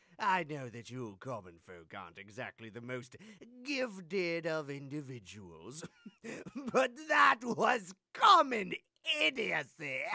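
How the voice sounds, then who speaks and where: At a fairly slow pace, a put-on character voice sits at a middle pitch. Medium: voice reel. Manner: pompous, condescending.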